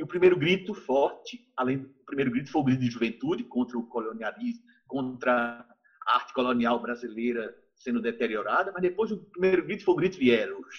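Lively intonation in an unremarkable speaking voice. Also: man, medium pitch for a man, fairly quick pace. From Brazil, Recife (Pernambuco). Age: 60s. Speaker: visual artist. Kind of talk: interview.

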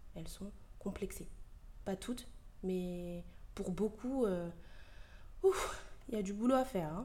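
A woman speaks at a very slow pace, with long, frequent pauses and big swings in loudness. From Ivorian heritage. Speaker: podcast host. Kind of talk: opinion monologue. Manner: animated.

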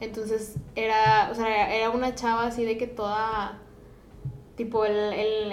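The voice is monotone and flat in intonation, heard through noticeable background noise and audible room echo. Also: woman. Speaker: podcast host. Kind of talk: casual chat.

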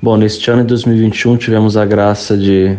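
The man's tone is dark and mellow. He talks fairly slowly. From Brazil, Espírito Santo. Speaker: Franciscan friar, theology student. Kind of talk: personal testimony.

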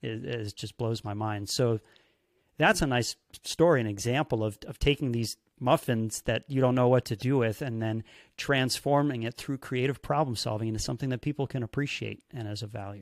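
A man with an American accent speaks at a fairly quick pace with medium pitch and ordinary pitch variation, in an unremarkable speaking voice. The sound is dry and close, with no echo. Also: very clean recording, silent background. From United States. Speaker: podcast host and magician. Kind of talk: interview.

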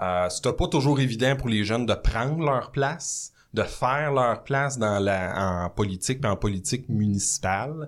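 A man with a normal speaking voice talks at a fairly slow pace in a medium pitch, with lively intonation and hardly any pauses. His loudness stays very even on a very clean recording with a silent background. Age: 30s. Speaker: mayor. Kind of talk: casual chat. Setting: studio.

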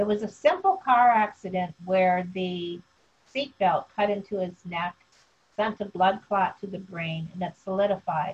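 A woman talks fairly slowly in a somewhat breathy voice, keeping her intonation fairly even. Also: medium pitch for a woman. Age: 70s. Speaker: survivor sharing life story. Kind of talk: interview testimony. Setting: video call.

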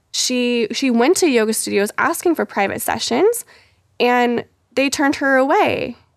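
This is a woman with a high pitch. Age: 20s. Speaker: yoga teacher training graduate. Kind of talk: casual chat.

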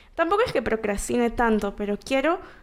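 Here a woman speaks in a plain, everyday voice at a fairly high pitch. Her pace is moderate. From Peru, Callao. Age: 20s. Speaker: singer-songwriter. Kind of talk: casual interview.

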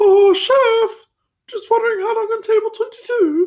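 A put-on character voice pitched extremely high. It moves at a fairly slow pace.

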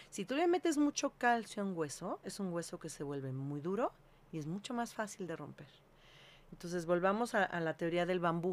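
A woman speaks with lively intonation at a fairly low pitch. It is a normal speaking voice. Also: moderate pace. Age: 50s. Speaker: holistic health consultant. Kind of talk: interview.

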